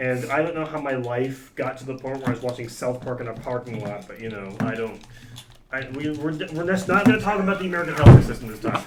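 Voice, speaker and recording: A man with a medium pitch talks at a very fast pace with lively intonation and big swings in loudness, amid audible room echo and noticeable background noise. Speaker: student club president and podcast host. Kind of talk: casual chat. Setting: small storage closet. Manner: halting, many fillers and restarts. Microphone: echoey room sound.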